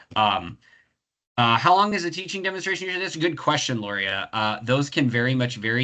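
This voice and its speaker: Over a quiet background, a man races along at a very fast pace with very wide pitch swings and a bright, sharp tone. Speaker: professor running a career webinar. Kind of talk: webinar Q&A. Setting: video call webinar. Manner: halting, many fillers.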